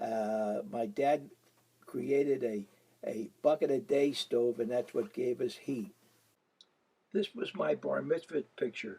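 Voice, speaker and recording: A man with an American accent, medium pitch, a dark, mellow tone and lively intonation. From US Northeast, Philadelphia and Atlantic City. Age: 90s. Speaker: elderly man telling his life story. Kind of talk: autobiographical narration over photos. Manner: halting, with fillers.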